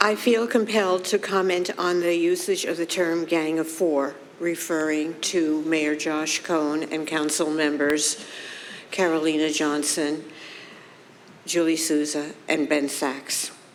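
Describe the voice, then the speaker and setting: Delivered at a fairly slow pace with fairly even intonation, the speech carries audible room echo. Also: woman, very deep, low pitch for a woman. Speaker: resident speaking at council meeting. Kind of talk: public comment. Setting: council meeting. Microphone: too far from mic at first.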